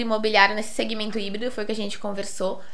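The voice has a bright, sharp tone with audible room echo. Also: woman. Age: 20s. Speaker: financial investment advisor. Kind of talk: casual chat.

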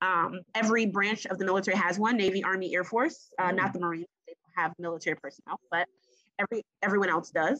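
Very fast and bright, a woman's sharp voice comes at a medium pitch with ordinary pitch variation and an American accent. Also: dry, close sound with no echo. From Maryland, Prince George's County. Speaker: physician and naval officer. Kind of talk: casual interview.

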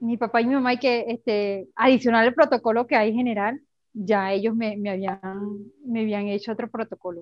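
In an unremarkable speaking voice, a woman talks at a moderate pace and a fairly high pitch with fairly even intonation. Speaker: human rights activist and lawyer. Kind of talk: testimony.

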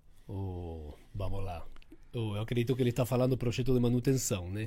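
A man's dark, mellow, somewhat breathy voice at a medium pitch, in a Spanish accent, fairly quick, with ordinary pitch variation. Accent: foreign accent in Portuguese, Spanish-tinged. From Uruguay, Argentine father, Rio mother. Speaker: building maintenance company director. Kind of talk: interview podcast. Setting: studio.

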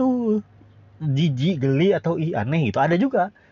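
A high-pitched man's voice with very wide pitch swings. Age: 20s. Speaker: solo podcaster. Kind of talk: casual monologue. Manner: rambling, self-correcting.

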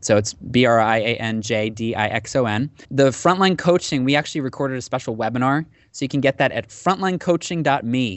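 At a fairly quick pace with hardly any pauses, a man talks at a medium pitch with ordinary pitch variation. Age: 30s. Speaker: artist management and coaching professional. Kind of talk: interview conversation. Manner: animated.

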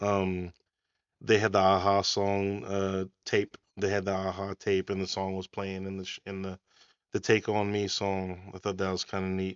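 At a moderate pace, a man talks in a fairly low voice with monotone, flat intonation. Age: 40s. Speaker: podcast co-host and producer. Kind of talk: casual chat.

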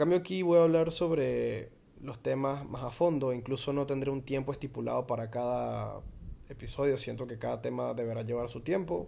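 Dark, mellow male speech at a medium pitch and moderate speed, its pitch rising and falling in an ordinary way. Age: 20s. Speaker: podcast host. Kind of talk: improvised solo monologue. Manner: halting.

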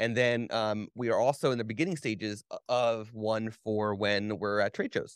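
Man at medium pitch and moderate pace, with fairly even intonation, hardly any pauses and very even loudness, in a dry, close sound with no echo over a quiet background. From New Jersey. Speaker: photographer and podcast host. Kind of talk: casual chat. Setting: video call. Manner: halting.

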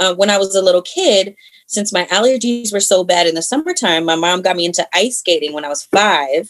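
A woman with an American accent speaks at a fairly quick pace in an unremarkable speaking voice, medium in pitch with ordinary pitch variation. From Maryland (Howard County). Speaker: actress and martial artist. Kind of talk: casual chat.

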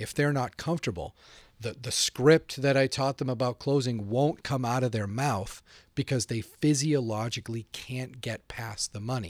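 Speaking in an ordinary speaking voice with an American accent, a man keeps a medium pitch, a moderate pace and ordinary pitch variation on a very clean recording with a silent background and a dry, close sound with no echo. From Boston. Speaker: sales trainer. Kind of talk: interview. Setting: studio.

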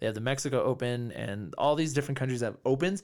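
With an American accent, a man talks at a very fast pace in a medium pitch with ordinary pitch variation. The recording is very clean, with a silent background. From California. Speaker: martial arts and fitness coach. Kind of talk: casual interview chat.

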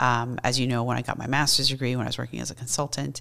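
A woman speaks with vocal fry. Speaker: psychologist and professor. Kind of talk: casual interview.

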